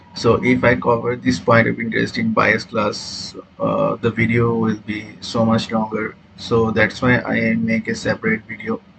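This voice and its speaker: Male speech at a moderate tempo, set against clearly audible background noise. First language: not English. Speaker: trading educator. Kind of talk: tutorial. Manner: halting, many fillers.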